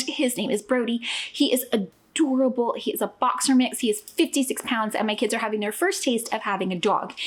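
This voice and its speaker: With lively intonation and a high pitch, a woman speaks against noticeable background noise. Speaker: family travel vlogger. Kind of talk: casual vlog chat. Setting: at home. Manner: fast; animated.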